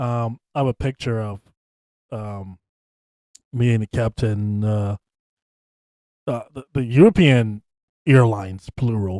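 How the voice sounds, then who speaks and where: A man's medium-pitched voice with a dark, mellow tone, ordinary pitch variation, big swings in loudness, a fairly slow pace and long, frequent pauses, in a dry, close sound with no echo. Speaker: podcast host. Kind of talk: casual chat.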